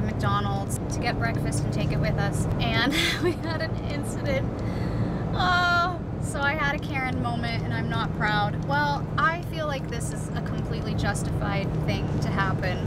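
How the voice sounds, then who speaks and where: Loud background noise surrounds a woman speaking at a moderate pace in a dry sound with no echo. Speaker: travel vlogger. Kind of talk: casual vlog chat. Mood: annoyed, storytelling. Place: car. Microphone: phone near.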